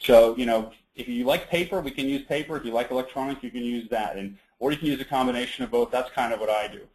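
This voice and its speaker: Talking very fast, a man is heard. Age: 30s. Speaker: webinar presenter on time management. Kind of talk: online seminar presentation. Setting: web conference call.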